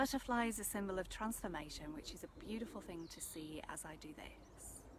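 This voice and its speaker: Soft-spoken and calm in tone, a woman talks at a fairly quick pace with big swings in loudness over noticeable background noise. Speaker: energy healer / meditation guide. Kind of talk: soft-spoken ASMR energy transmission talk to camera. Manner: soft-spoken, calm.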